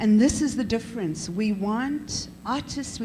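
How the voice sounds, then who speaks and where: A woman's fairly high voice with ordinary pitch variation, amid noticeable background noise. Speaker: professor and head of an arts school. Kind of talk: panel discussion. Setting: conference panel. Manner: loud; animated.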